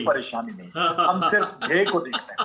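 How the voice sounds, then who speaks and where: Noticeable background noise runs through the recording. A man speaks at a moderate pace. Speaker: army officer, parade commentator. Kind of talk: interview answer.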